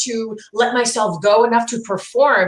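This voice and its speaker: The speaker is a woman with an American accent. Background noise is noticeable. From New Jersey. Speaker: speaking and storytelling coach, trained singer. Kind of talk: casual interview chat, personal story. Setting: informal chat over wine.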